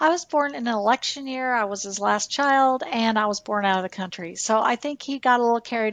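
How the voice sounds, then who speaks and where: On a very clean recording with a silent background and a dry, close sound with no echo, a woman uses a normal speaking voice at a moderate pace with ordinary pitch variation. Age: 60s. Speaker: nurse and former hospital executive. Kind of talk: podcast interview.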